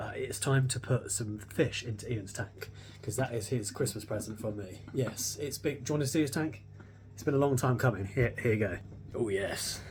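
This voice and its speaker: A man whispers in an English accent, his loudness swinging widely. Faint music plays in the background. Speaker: car restoration YouTuber. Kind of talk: casual chat; casual vlog chat. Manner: whispering. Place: home room. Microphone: phone near.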